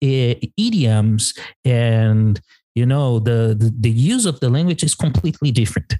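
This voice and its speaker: With a Portuguese accent, the speaker talks at a fairly slow pace in a dark, mellow, somewhat breathy tone with ordinary pitch variation. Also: man. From Brazil. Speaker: English teacher and podcast co-host. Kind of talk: casual chat.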